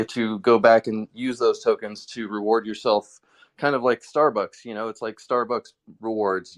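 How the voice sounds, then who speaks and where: Against a quiet background, a man speaks at medium pitch and a fairly quick pace. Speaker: NFT collector and community builder. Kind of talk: casual interview chat. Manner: fast; halting, many fillers.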